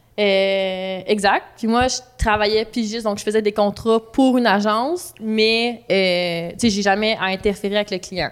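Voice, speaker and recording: Noticeable background noise runs behind a woman speaking at a fairly slow pace. Her voice is fairly high in pitch, with fairly even intonation. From Quebec, Laurentians (Saint-Joseph-du-Lac). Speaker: graphic designer. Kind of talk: interview.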